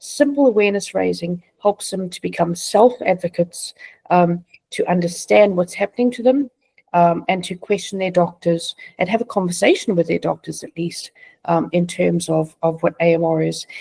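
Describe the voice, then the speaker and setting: The speaker has a South African accent and a moderate pace, recorded in a dry, close sound with no echo. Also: woman. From South Africa, Johannesburg. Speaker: patient advocate, charity founder. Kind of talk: interview.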